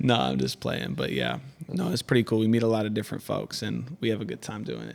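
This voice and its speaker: Very fast speech from a man comes with noticeable background noise. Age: 20s. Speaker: rapper selling mixtapes. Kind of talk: casual chat. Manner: loud.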